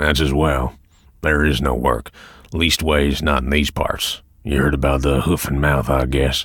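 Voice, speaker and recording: A man puts on a character voice, very deep and low, raspy and growling. He speaks at a moderate pace. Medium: read story. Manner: cold, flat, menacing.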